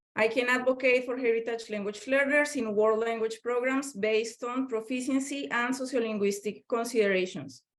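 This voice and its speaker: Speaking with a Spanish accent, a woman has a fairly high voice with ordinary pitch variation. Her pace is moderate. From Colombia, Bogotá. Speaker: professor of language education. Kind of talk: lecture.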